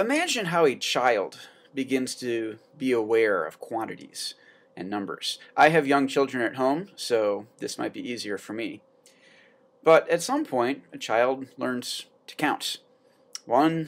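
A man speaks at a very slow pace. His loudness swings a lot. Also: ordinary pitch variation. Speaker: teacher. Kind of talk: lecture. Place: classroom. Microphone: webcam.

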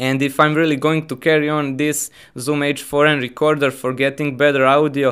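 At a moderate pace, a man speaks with a fairly bright tone and little pitch movement.

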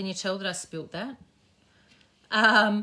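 A woman's bright, sharp tone with an Australian accent. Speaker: craft educator and shop owner; craft educator. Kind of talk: casual live-stream craft tutorial. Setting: live Facebook stream from home. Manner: chatty, warm. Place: workshop. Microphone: phone near.

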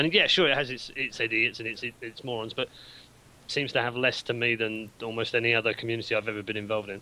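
Speaking with a British accent, a man rushes at a very fast pace in a bright, sharp tone with fairly even intonation. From UK. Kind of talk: casual chat. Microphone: video call.

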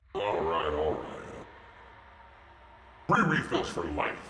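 Putting on a character voice, a man speaks at a fairly slow pace in a very deep, low pitch, with a slight echo and clear background noise. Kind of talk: comedy sketch dialogue. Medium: stage.

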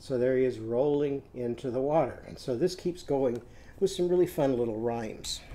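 A man with a dark, mellow tone. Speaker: teacher reading to children. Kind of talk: storytime lesson talk. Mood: warm, gentle. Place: home room. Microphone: webcam.

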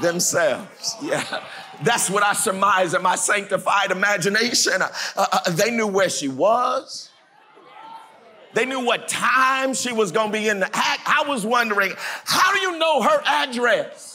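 Against light background noise, a man uses a raised, projected voice with a high pitch and lively intonation at a fairly slow pace. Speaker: pastor. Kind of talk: sermon. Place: church. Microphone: lapel.

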